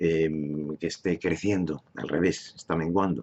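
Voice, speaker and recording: Here a man talks at a moderate pace in a very deep, low pitch. His delivery is monotone, with flat intonation. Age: 70s. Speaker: political commentator. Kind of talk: monologue. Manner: halting.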